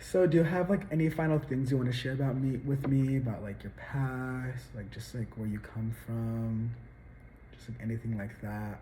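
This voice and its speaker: Speaking at a moderate pace in an American accent, a man has a dark, mellow tone that is somewhat breathy. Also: medium pitch for a man, ordinary pitch variation, big swings in loudness. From Arizona, Tucson. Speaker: student interviewer. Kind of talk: interview.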